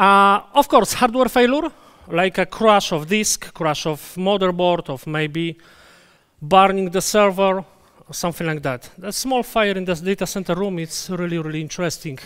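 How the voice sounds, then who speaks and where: Against a quiet background, a man with a Polish accent and a high pitch speaks at a fairly slow pace, leaving long, frequent pauses, his pitch varying in an ordinary way. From Poland. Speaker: database conference speaker; conference presenter. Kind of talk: conference talk; technical lecture. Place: hall.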